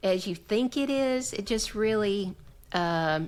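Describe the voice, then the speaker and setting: A woman with a Southern US accent in a very clean recording with a silent background. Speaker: association executive director and podcaster. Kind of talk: casual chat. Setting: podcast recording.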